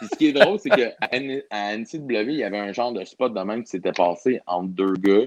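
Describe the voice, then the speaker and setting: A man speaks in a plain, everyday voice at a medium pitch and a moderate pace. His loudness swings widely while his pitch varies in the usual way. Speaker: pro wrestler. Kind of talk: casual chat.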